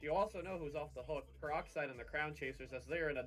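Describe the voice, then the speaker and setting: Someone with an American accent speaks over music in the background. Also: man. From New Jersey. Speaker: co-caster. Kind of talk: live esports commentary.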